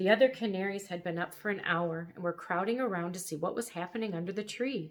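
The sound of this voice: With ordinary pitch variation, an unforced reading voice is heard here.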